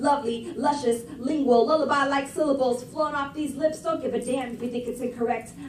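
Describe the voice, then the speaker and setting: There is noticeable background noise as a woman speaks. Her voice is high-pitched and her tone animated. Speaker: slam poet. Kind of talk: spoken word performance. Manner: rhythmic, animated.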